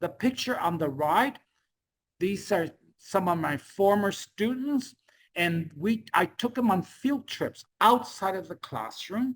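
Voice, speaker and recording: A woman speaks at a medium pitch with a non-native accent, keeping a fairly slow pace. The recording is very clean, with a silent background. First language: Spanish. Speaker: teacher. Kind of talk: lecture. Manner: halting.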